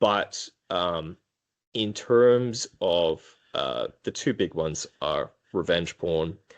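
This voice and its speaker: A man with an Australian accent is heard against a quiet background. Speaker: prosecutor. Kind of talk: interview conversation. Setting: podcast. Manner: hesitant, many filler ums.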